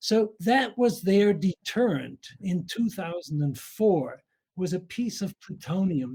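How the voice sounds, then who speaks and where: A man's high-pitched voice with a dark, mellow tone and ordinary pitch variation. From Austria. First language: German. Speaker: nuclear scientist. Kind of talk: audience question at a symposium. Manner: halting, many fillers.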